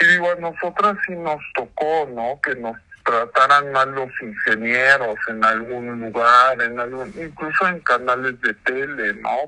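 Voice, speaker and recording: A man speaks at a fairly slow pace in a medium pitch with ordinary pitch variation, with noticeable background noise. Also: hardly any pauses. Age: 30s. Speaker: musician. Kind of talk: interview.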